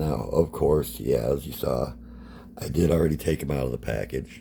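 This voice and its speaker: The speech shows ordinary pitch variation, with noticeable background noise behind it. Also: man. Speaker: toy collector YouTuber. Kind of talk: toy review. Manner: casual, filler-heavy.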